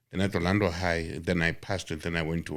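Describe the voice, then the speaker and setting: Monotone and flat in intonation, a man speaks at a very deep, low pitch. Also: very clean recording, silent background. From South Africa, Johannesburg (Western Native Township). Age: 70s. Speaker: journalist, entrepreneur and struggle veteran. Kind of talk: interview storytelling. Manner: halting, many fillers.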